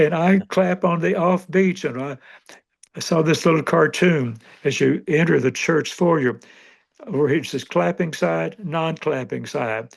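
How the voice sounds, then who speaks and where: In an American accent, a man with vocal fry speaks at a fairly high pitch and a fairly slow pace with ordinary pitch variation against a quiet background. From western Kentucky, US. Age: 90s. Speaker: retired pastor and church planter. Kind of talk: interview conversation.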